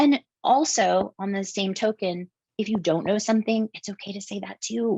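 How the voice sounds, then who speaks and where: Soft-spoken and fairly high-pitched, a woman speaks at a moderate pace in a dry, close sound with no echo. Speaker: tech company vice president. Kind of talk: interview.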